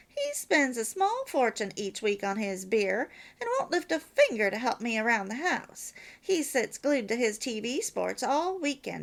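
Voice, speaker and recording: This is a put-on character voice, female-sounding and gravelly. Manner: desperate.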